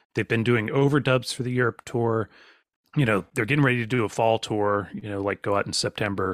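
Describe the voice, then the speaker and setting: A man with a medium pitch talks at a fairly quick pace in an ordinary speaking voice. The sound is dry and close with no echo, on a very clean recording with a silent background. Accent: American. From Virginia, US. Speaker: podcast host and songwriter. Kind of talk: casual chat.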